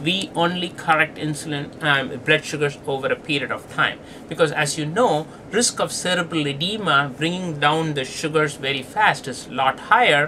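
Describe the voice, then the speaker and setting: Over noticeable background noise, a man speaks in a fairly high pitch with ordinary pitch variation. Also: moderate pace. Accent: non-native. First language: not English. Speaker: pediatric diabetes doctor. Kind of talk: lecture.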